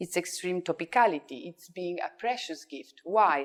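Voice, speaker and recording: A woman with an Italian accent talks at a moderate pace in a fairly low voice. Her pitch swings very widely. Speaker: psychosynthesis speaker. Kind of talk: conference talk read from script. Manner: reading aloud.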